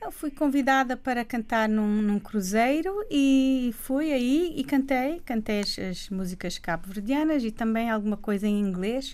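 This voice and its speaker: Over noticeable background noise, a woman speaks at a high pitch with lively intonation. Her pace is fairly slow, with hardly any pauses. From Cape Verde (Praia). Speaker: singer. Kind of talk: radio interview.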